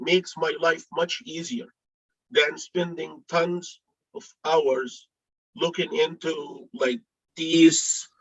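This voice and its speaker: A man talks at a very slow pace. The sound is dry and close, with no echo. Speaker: board commissioner. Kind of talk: public hearing deliberation. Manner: halting, repeats words.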